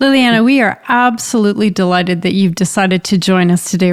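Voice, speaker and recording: A woman with a Canadian accent and a normal speaking voice talks at a fairly quick pace. Her medium pitch carries fairly even intonation in a very clean recording with a silent background. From Canada, rural Ontario. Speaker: podcast co-host and resilience researcher. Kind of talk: interview conversation.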